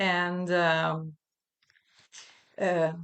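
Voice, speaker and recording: A woman speaks with an Italian accent. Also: quiet background. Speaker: voice teacher and researcher. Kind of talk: research presentation. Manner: halting.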